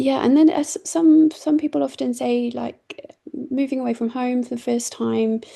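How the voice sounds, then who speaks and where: Speaking at a moderate pace, a woman has a British accent. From Britain. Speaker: doctor and charity CEO. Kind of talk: online presentation. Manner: hesitant, many fillers.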